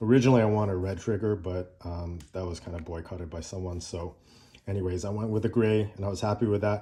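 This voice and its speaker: Against a quiet background, a man with a fairly low pitch speaks fairly quickly in a dark, mellow, relaxed tone that is somewhat breathy, with fairly even intonation. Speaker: gun owner reviewer. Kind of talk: casual talk to camera. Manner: relaxed, hesitant with fillers.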